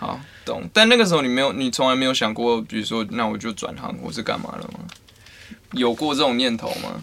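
Over noticeable background noise, a man with a Taiwanese accent talks at a fairly quick pace, medium in pitch and lively in intonation. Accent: Taiwanese Mandarin. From Taiwan, Taichung. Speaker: podcast host. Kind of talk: casual chat.

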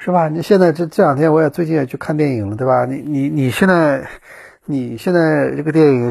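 Somewhat breathy, a man talks at a fairly quick pace with ordinary pitch variation, recorded very cleanly with a silent background. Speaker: podcast host, former traveling reporter. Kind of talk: casual solo monologue. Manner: halting, many fillers and repetitions.

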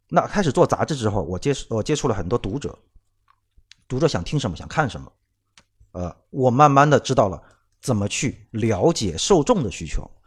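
Vocal fry marks this man's medium-pitched voice, which moves at a moderate pace with long, frequent pauses. His pitch swings very widely and his loudness shifts a lot. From Shanghai, China. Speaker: podcast co-host, former car magazine editor. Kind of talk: casual chat.

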